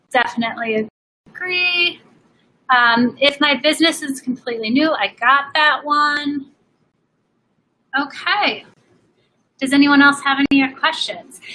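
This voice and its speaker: A woman with a high pitch and a bright, sharp tone uses a raised, projected voice at a fairly slow pace, with ordinary pitch variation and long, frequent pauses. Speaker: fashion business coach. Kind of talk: live Q&A. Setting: live stream.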